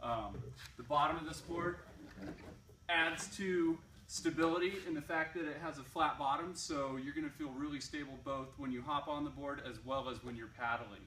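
Audible room echo and light background noise surround the voice. A man talks at a moderate pace with ordinary pitch variation. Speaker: shop staff reviewing a product. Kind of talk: product review. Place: shop. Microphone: camera far.

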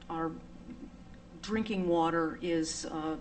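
Speaking very slowly, a woman uses a fairly low pitch and fairly even intonation. Audible room echo surrounds her voice. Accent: American. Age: 70s. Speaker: resident speaking at town meeting. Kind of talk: public comment at town meeting. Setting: town board meeting. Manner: halting, many fillers.

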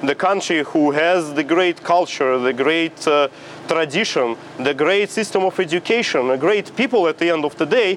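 A fairly high-pitched man with a Russian accent, at a moderate pace amid light background noise. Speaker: exiled opposition politician. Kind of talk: TV interview. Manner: halting, with fillers. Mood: calm, serious. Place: street. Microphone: lapel.

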